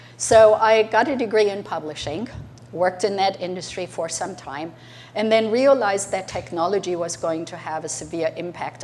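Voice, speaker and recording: The speaker talks at a moderate pace with a German accent. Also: woman. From Germany. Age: 60s. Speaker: entrepreneur. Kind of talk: talk to an audience.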